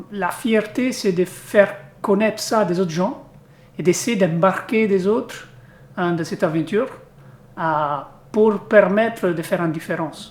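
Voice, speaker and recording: A man's high-pitched voice in an Italian accent, fairly slow, with long, frequent pauses and ordinary pitch variation. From Italy. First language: Italian (speaking French). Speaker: company executive, charity sponsor. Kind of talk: interview. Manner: halting, many hesitations.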